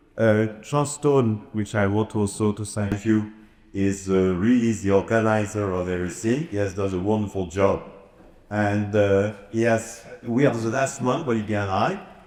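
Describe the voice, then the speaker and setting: A man with a French accent speaks at a fairly low pitch in audible room echo. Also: ordinary pitch variation, moderate pace. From France. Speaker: author and speaker. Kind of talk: conference presentation. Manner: halting, frequent uhs.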